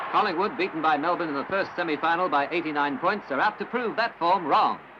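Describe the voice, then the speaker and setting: Speaking at a very fast pace, a man has a high pitch. Noticeable background noise is present. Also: ordinary pitch variation. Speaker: newsreel sports commentator. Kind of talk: newsreel sports commentary. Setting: old archival recording.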